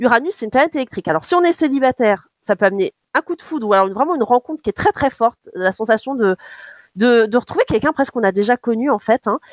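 The delivery comes at a very fast pace with very wide pitch swings. The sound is dry and close, with no echo. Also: woman. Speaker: radio astrologer. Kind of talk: astrology forecast on radio.

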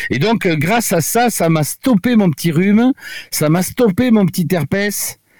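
A man with a high pitch speaks at a fairly slow pace with lively intonation and very even loudness, in a dry, close sound with no echo. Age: 70s. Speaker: doctor. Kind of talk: radio interview. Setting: remote from home. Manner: halting.

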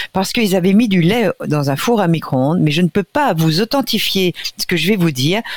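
An ordinary speaking voice, at a fairly quick pace, with lively intonation and very even loudness, in a dry, close sound with no echo. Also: woman, medium pitch for a woman. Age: 60s. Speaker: nutrition expert. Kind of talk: radio interview.

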